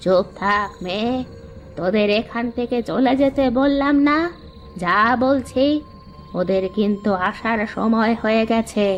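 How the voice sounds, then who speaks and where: Someone speaks at a fairly slow pace in a cartoonish character voice. Clear background noise runs underneath. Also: female-sounding voice, fairly high pitch for a woman. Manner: gruff, ominous.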